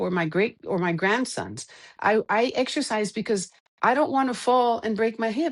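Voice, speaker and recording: A woman talks at a moderate pace with a fairly high pitch and ordinary pitch variation. The background is quiet. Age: 50s. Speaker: coaching client. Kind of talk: interview conversation. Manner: halting.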